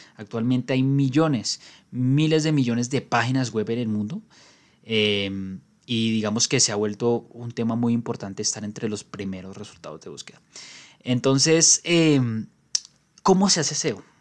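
A man's voice sits at a medium pitch. He talks at a moderate pace. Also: ordinary pitch variation, big swings in loudness. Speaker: podcast host. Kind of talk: solo explainer podcast.

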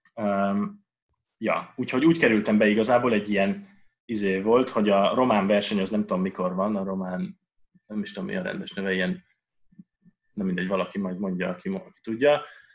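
A man's fairly low voice at a very fast pace, with long, frequent pauses, big swings in loudness and ordinary pitch variation. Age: 20s. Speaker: mathematics PhD student. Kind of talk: casual Q&A talk. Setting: video call.

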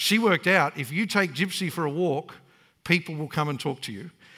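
Here a man speaks with an Australian accent. His tone is bright and sharp, with ordinary pitch variation. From Australia (Queensland, Brisbane area). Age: 40s. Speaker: pastor. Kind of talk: sermon.

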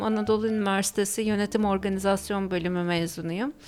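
A woman is talking. Her pace is very fast. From Turkey, Izmir and Ayvalık. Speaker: scuba diver and former Canada emigrant. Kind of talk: radio interview.

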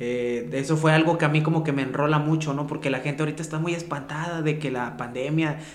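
A man's very fast, fairly high-pitched talk with hardly any pauses and monotone, flat intonation, heard over noticeable background noise. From Mexico, Xalapa area (San Bruno). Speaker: street rapper. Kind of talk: casual chat.

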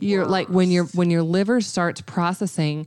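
In an unremarkable speaking voice, a woman with a fairly low pitch talks at a fairly quick pace with fairly even intonation, the sound dry and close with no echo. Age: 30s. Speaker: podcast host, realtor. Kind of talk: casual chat.

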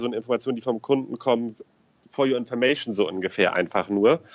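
With a medium pitch, a man rattles along at a very fast speed. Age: 30s. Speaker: financial advisor. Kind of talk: interview. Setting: phone call.

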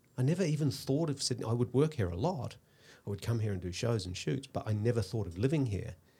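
A somewhat breathy man talks at a very fast pace. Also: medium pitch for a man, lively intonation. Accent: New Zealand. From New Zealand. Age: 50s. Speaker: hairstylist and tech entrepreneur. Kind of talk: casual interview. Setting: studio.

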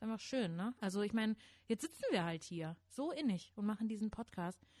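The voice is somewhat breathy with a dark, mellow tone, moving at a moderate pace with lively intonation in a dry, close sound with no echo. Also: woman. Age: 30s. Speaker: podcast co-host. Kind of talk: casual chat; scripted narration. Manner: animated.

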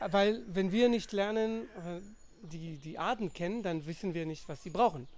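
A man's high-pitched voice at a fairly slow pace, with ordinary pitch variation and big swings in loudness. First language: non-native German speaker (speaking German). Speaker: scientist and conservation volunteer. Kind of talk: podcast interview. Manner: halting, many fillers.

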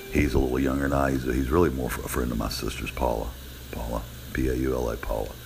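A man's very deep, low voice at a very fast pace, flat and monotone, with noticeable background noise and audible room echo. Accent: American. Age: 60s. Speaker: podcaster. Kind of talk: casual monologue.

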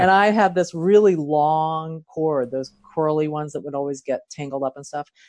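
In a Philadelphia accent, a woman talks at a moderate pace in a very deep, low voice with big swings in loudness. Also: ordinary pitch variation. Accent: Philadelphia American. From Philadelphia, US. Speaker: life coach, new co-host. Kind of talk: casual conversation.

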